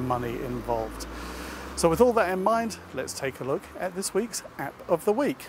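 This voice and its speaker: A man's fairly quick speech over noticeable background noise. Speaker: tech help video presenter. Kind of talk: tutorial. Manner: speaking quietly.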